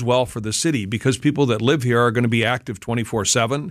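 A man talks in an unremarkable speaking voice at a medium pitch and a fairly quick pace. His intonation is fairly even, over a quiet background. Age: 60s. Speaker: business association advisor. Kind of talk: radio interview. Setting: studio.

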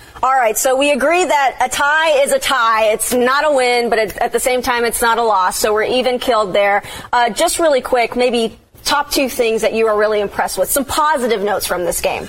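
With an American accent, a woman speaks at a fairly quick pace in a high pitch, her loudness very even. Her pitch variation is ordinary, and there is noticeable background noise. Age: 20s. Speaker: TV sports reporter. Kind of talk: casual sports chat.

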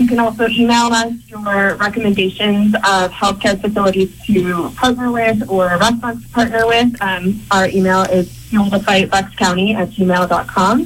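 A woman with a plain, everyday voice speaks at a medium pitch, her intonation fairly even and her speech carrying hardly any pauses. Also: moderate pace. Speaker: charity organizer. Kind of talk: interview.

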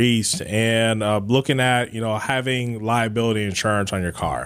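At a fairly quick pace, a man with an American accent speaks in an unremarkable speaking voice at a medium pitch with fairly even intonation. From Cleveland area, Ohio. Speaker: insurance executive. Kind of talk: radio interview.

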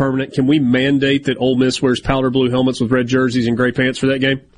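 Over noticeable background noise, a man at medium pitch talks at a very fast pace. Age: 40s. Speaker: sports radio host. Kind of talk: sports talk radio.

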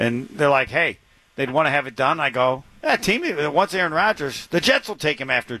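A man speaks with an American accent at a fairly quick pace, his pitch fairly high. His tone is bright and sharp, with lively intonation. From Indiana. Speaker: sports radio host. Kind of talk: casual sports talk radio.

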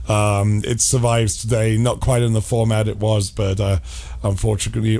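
Over noticeable background noise, a man with a fairly low pitch speaks at a moderate pace with fairly even intonation. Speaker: radio host. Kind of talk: casual chat. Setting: studio.

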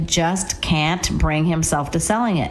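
A woman at a moderate pace with fairly even intonation, over noticeable background noise and audible room echo. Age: 60s. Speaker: real estate agent. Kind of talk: radio talk show chat.

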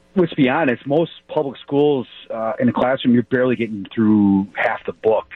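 A man's voice of medium pitch, an unremarkable speaking voice, its pitch varying in an ordinary way. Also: moderate pace. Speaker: caller. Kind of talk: radio call-in. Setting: phone call.

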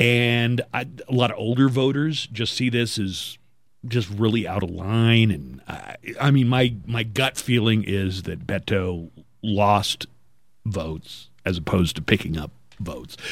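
Using a normal speaking voice, the speaker talks at a fairly slow pace with ordinary pitch variation. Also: man, medium pitch for a man. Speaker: radio host. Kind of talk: casual chat. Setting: studio.

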